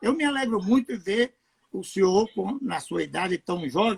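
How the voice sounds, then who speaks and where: The voice moves at a fairly slow pace with lively intonation. The sound is dry and close, with no echo. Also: man. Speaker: pastor. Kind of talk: casual chat. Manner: halting.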